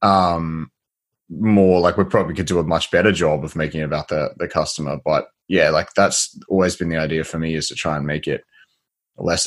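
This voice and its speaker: Over a silent background in a very clean recording, a man with an Australian accent speaks fairly quickly in a very deep, low voice with fairly even intonation. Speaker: podcast host, agency software founder. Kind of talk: casual interview chat.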